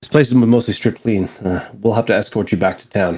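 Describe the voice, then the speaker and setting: Putting on a raspy character voice, a man talks at a fairly quick pace with a medium pitch and fairly even intonation. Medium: actual play. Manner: brisk, commanding.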